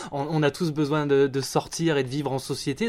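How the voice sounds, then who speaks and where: Moving at a moderate pace, a man with a normal speaking voice talks at a fairly high pitch. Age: 30s. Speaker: audio production staff at a newspaper. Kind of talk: interview.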